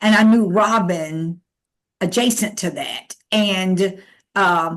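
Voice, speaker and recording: A plain, everyday voice with an American accent, ordinary pitch variation, and a quiet background. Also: woman. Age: 60s. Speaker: theatre director. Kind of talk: interview.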